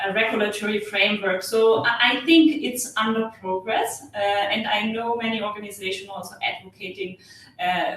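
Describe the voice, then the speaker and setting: Woman with a German accent, medium pitch and ordinary pitch variation, at a moderate pace over noticeable background noise. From Germany. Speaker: energy efficiency expert. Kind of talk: webinar Q&A. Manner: halting, many fillers.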